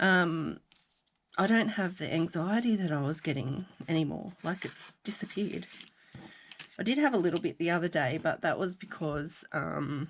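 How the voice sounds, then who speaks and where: Here is a woman with an Australian accent and a fairly low pitch. She moves at a moderate pace with ordinary pitch variation. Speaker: crafting vlogger. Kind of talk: casual chat. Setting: at home craft desk.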